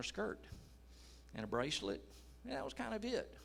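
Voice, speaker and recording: A man's voice carries audible echo from the room while he speaks at a moderate speed. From United States. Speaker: missionary. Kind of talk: testimony.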